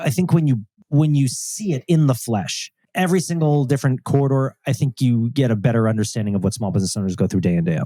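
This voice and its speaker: The voice has a dark, mellow tone and a New York accent, with lively intonation at a very fast pace. The sound is dry and close with no echo. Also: man, medium pitch for a man. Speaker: panelist, small business advocate. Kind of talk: live panel discussion. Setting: live panel with audience.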